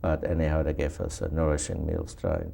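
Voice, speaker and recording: A man's very deep, low voice has a dark, mellow tone and sounds somewhat breathy. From Germany. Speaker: Holocaust survivor. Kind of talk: oral history interview. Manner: halting.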